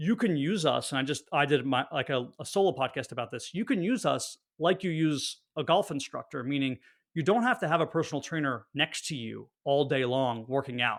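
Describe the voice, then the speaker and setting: This man talks with an American accent at a fairly high pitch and a fairly quick pace. His intonation is lively, and the recording is very clean with a silent background. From northern New Jersey, near New York City. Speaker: personal trainer. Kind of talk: podcast interview.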